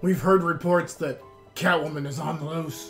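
Over clear background music, a man puts on a character voice at a fairly high pitch. He talks at a moderate pace. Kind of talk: comic parody acting. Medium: actual play. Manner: deadpan, mock-gruff.

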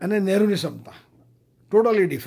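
A man talks at a high pitch with fairly even intonation. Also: quiet background. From India, south Gujarat (Vyara); Gujarat, India. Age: 70s. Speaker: senior citizens association president. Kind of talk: recorded speech. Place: home room. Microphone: webcam.

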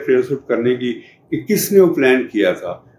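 There is audible room echo and light background noise as a man talks with fairly high pitch and ordinary pitch variation. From Pakistan, Punjab. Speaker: retired museum director and archaeologist. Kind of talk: interview answer, oral history. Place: home room.

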